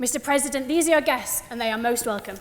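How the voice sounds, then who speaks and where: With noticeable background noise behind her, a woman with a northern English accent speaks very fast at a high pitch, with ordinary pitch variation. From northern England, West Yorkshire near Huddersfield. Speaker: student debater. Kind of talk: formal debate speech. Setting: debating chamber with audience.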